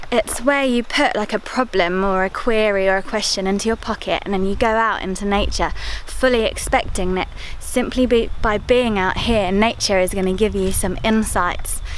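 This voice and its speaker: A woman's fairly high, relaxed voice at a moderate pace, with fairly even intonation and noticeable background noise. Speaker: parenting and lifestyle vlogger. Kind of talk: vlog monologue. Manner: relaxed, conversational.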